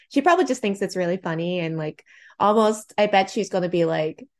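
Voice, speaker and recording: In an American accent, a woman speaks with a medium pitch. Hers is a normal speaking voice with ordinary pitch variation. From New Jersey shore. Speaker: poet and memoirist, creative writing professor. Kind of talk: interview conversation.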